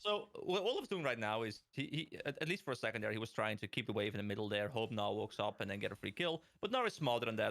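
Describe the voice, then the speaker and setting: The man speaks at a very fast pace. His pitch is medium, with ordinary variation. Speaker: esports color commentator. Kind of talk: live commentary. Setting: livestream.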